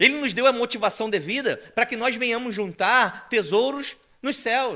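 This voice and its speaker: Raising and projecting his voice, a man speaks at a moderate pace with an extremely high pitch and a bright, sharp tone. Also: ordinary pitch variation. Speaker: preacher. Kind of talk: sermon.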